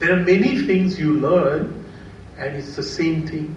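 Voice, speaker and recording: Over noticeable background noise and audible room echo, a man with an Indian accent speaks in a fairly high voice with ordinary pitch variation. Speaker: quantitative finance professional. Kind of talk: seminar talk. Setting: seminar with audience.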